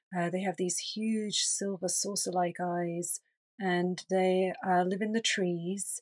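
Against a quiet background with a dry, close sound and no echo, a woman with an English accent speaks at a very slow pace in a medium pitch, her intonation monotone and flat. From England. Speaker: energy healer. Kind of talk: interview conversation.

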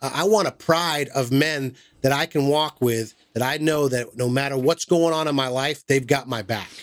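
A man with an American accent uses an ordinary speaking voice at fairly high pitch. He keeps a moderate pace and ordinary pitch variation. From Massachusetts. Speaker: podcast host. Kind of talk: casual chat.

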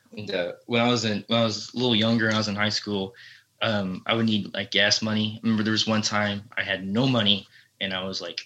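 In a Texan accent, a man rattles along at a very fast pace with a bright, sharp tone. His fairly low voice stays monotone and flat. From Texas. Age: young. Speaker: country musician. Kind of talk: casual interview chat. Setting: remote call. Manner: halting.

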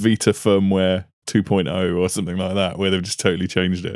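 Someone with a British accent speaks at a very fast pace in a dry, close sound with no echo. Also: man. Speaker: podcast host. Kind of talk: casual chat. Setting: video call.

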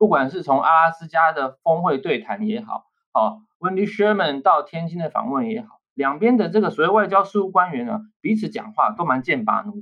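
With a high voice and lively intonation, a man speaks at a moderate pace with hardly any pauses and big swings in loudness. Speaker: associate professor of diplomacy. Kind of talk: podcast interview, political analysis.

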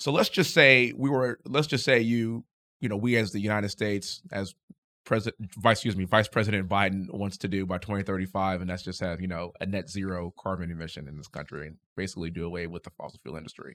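A man with an American accent speaks at a very fast pace in a fairly low pitch with a bright, sharp tone. His loudness swings widely, while his pitch varies in an ordinary way. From Houston, Texas. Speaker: congressional candidate and army veteran. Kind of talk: podcast interview. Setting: studio.

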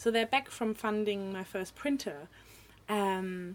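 A woman with a German accent speaks at a fairly slow pace and a fairly high pitch. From northern Germany. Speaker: artist and illustrator. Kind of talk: casual interview chat. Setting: studio.

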